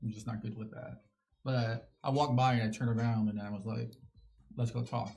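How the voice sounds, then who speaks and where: A dark, mellow, somewhat breathy voice with an American accent at a very fast pace. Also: man. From Phoenix, Arizona. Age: 40s. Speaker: community center volunteer and cook. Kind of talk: interview.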